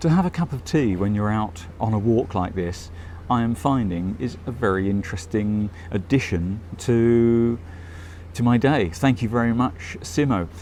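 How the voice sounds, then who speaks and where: A man with a British accent talks at a moderate pace in a fairly low, dark, mellow tone, his intonation lively. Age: 60s. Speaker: travel vlogger. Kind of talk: casual vlog commentary. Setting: tea shop.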